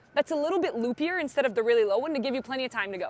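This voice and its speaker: Over noticeable background noise, a woman speaks with very wide pitch swings. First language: Portuguese. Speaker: pickleball pro coach. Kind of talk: on-court lesson.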